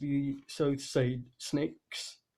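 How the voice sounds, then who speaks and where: A man talks in a dark, mellow tone that is somewhat breathy, his pitch fairly high and his intonation fairly even. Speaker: tabletop game master. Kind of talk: game session recap narration. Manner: stuttering.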